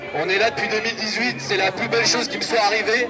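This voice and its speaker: Crowd noise sounds in the background. Over it, a man talks at a fairly quick pace. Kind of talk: speech to a crowd. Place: street. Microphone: camera far.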